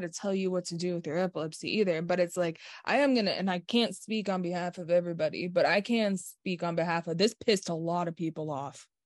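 Speech moves at a fairly quick pace. The pitch varies in an ordinary way. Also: woman, hardly any pauses. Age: 30s. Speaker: podcast co-host, epilepsy advocate. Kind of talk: casual chat. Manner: animated.

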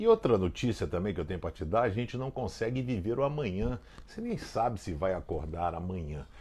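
Intonation rises and falls in a lively way. The man's tone is dark and mellow, with some breathiness. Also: fairly quick pace. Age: old. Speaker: pastor. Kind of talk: short devotional video message. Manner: conversational.

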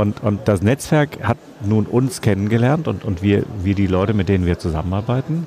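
Over music in the background, a man talks with a fairly low pitch. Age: 50s. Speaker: publisher. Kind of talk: interview. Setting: book fair.

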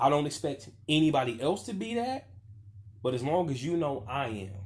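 A man speaks at a moderate pace in an animated tone. His voice is somewhat breathy, with lively intonation. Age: 30s. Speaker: podcast host. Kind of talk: monologue rant.

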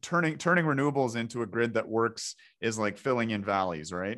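Over a quiet background, a man with a normal speaking voice and a Canadian accent talks at a fairly quick pace, his medium pitch showing ordinary variation. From Ontario, Canada. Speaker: podcast host and doctor. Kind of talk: interview.

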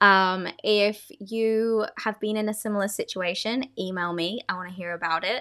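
A woman with an Australian accent speaks at a medium pitch with ordinary pitch variation and a bright, sharp tone, on a very clean recording with a silent background. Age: 20s. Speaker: podcast host. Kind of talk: casual storytelling monologue. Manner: animated.

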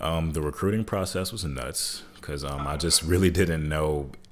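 A man with an American accent speaks at a very deep, low pitch with vocal fry and ordinary pitch variation. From Michigan, then Hampton, Virginia from age 15. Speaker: former basketball player and artist. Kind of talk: casual interview.

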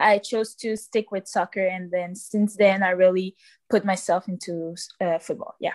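Recorded with a dry, close sound and no echo, a woman with a Quebec accent speaks at a medium pitch and moderate pace with monotone, flat intonation. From Quebec City, raised partly in Cameroonian family. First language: French. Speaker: soccer player. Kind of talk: interview.

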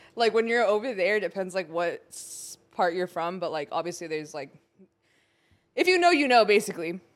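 A woman at medium pitch and a fairly quick pace, with ordinary pitch variation. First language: Spanish. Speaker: podcast co-host. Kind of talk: casual chat. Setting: studio.

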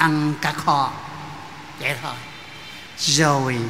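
In a room with audible echo and noticeable background noise, a man with a fairly high voice speaks at a very slow pace. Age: 80s+. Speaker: priest. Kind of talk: speech at a Mass. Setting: church.

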